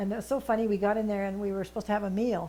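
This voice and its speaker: Speech comes at a very fast pace. The accent is western Canadian. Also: woman. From British Columbia, Canada (Vernon area). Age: 80s+. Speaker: senior volunteer. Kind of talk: interview.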